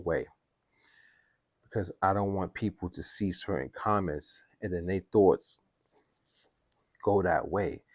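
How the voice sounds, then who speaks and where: A quiet man with a very deep, low pitch, on a very clean recording over a silent background. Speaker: music production youtuber. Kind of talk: casual vlog talk. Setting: at home. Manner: quiet, holding voice down.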